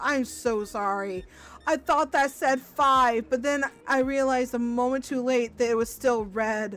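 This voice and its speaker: With music in the background, a woman speaks at a fairly slow pace with a high pitch and ordinary pitch variation. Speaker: gaming streamer. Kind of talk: casual chat. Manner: stammers when nervous; chewing gum.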